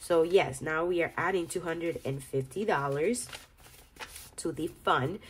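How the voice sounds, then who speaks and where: A woman with a very deep, low voice speaks with ordinary pitch variation over noticeable background noise. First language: Spanish. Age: 30s. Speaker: budgeting vlogger. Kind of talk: casual vlog tutorial. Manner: halting, repeats words.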